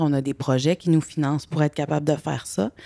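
Speaking at a fairly quick pace, a woman with a very deep, low voice keeps her intonation fairly even, recorded dry and close with no echo against a silent background on a very clean recording. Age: 40s. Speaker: women's organization coordinator. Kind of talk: interview.

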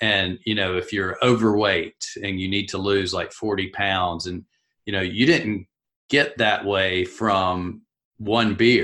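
In a Southern US accent, a man speaks at a very slow pace with fairly low pitch and a bright, sharp tone. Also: fairly even intonation, quiet background. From US South; South Carolina. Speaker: podcast host. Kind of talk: casual interview.

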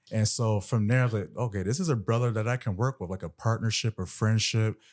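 In a normal speaking voice, a man talks at a fairly quick pace with fairly even intonation on a very clean recording with a silent background. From Central Florida. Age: 30s. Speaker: entrepreneur, podcast guest. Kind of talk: casual interview chat.

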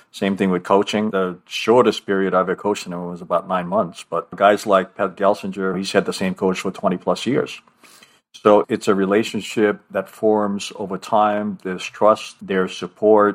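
The recording is very clean, with a silent background. A man speaks at a moderate pace in a fairly low, monotone, flat voice. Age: 60s. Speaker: leadership coach and author. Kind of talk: interview.

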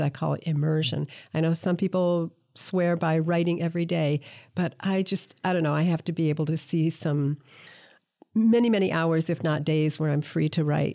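On a very clean recording with a silent background, a woman with a dark, mellow tone speaks with ordinary pitch variation. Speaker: poetry editor and interviewer. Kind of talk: interview, friendly chat.

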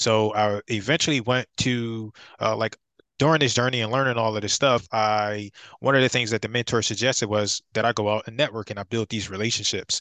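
Speaking at a very fast pace in an American accent, a man with a medium-pitched, bright, sharp tone keeps fairly even intonation, recorded dry and close with no echo over a quiet background. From Philadelphia, Pennsylvania. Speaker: real estate investor and author. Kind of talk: podcast interview.

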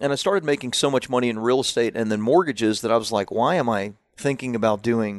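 Using a normal speaking voice, a man with an American accent talks at a medium pitch and a fairly quick pace, with ordinary pitch variation. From US South, Central Florida. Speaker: marketing expert and publisher. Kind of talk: interview conversation.

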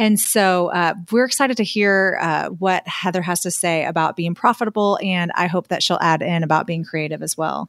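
A woman with a normal speaking voice and a fairly low pitch talks at a moderate pace with ordinary pitch variation and hardly any pauses, captured in a very clean, dry, close recording with a silent background and no echo. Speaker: podcast co-host and photographer. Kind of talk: casual interview chat.

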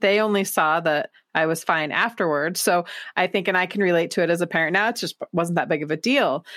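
At a fairly quick pace, a woman speaks in a plain, everyday voice with ordinary pitch variation, the recording very clean with a silent background and a dry, close sound with no echo. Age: 40s. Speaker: podcast host. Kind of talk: casual chat.

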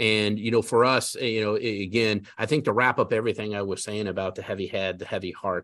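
Against a quiet background, a man speaks at a medium pitch. His pitch variation is ordinary. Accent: American. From Colorado, US. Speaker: credit union chief executive. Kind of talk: interview. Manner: halting, many fillers.

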